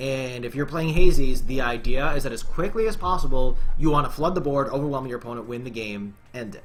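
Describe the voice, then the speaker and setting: Medium-pitched man at a fairly quick pace with hardly any pauses, ordinary pitch variation, big swings in loudness and music in the background. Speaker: gaming streamer. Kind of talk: gameplay commentary. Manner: fast; animated.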